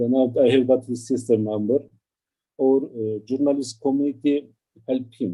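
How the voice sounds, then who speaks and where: The man talks in a monotone, flat intonation. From Turkey. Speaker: journalist. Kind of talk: testimony. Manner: halting.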